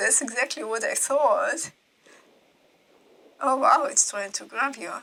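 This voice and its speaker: A high-pitched woman with a non-native accent and long, frequent pauses. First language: not English. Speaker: gaming video creator. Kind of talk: game walkthrough voiceover commentary. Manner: casual, with hesitations and repetitions.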